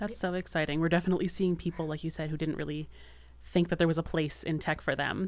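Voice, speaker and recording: Speaking at a very fast pace, a woman with a Maritime Canadian accent has a very deep, low pitch. Her intonation is monotone and flat, with vocal fry. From Maritime Canada. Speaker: podcast co-host. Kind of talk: casual interview.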